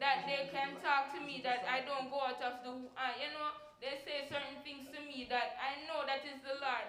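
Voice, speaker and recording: Over noticeable background noise, a woman with a high voice talks at a moderate pace in a flat monotone. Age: 20s. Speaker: church sermon speaker. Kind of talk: church sermon.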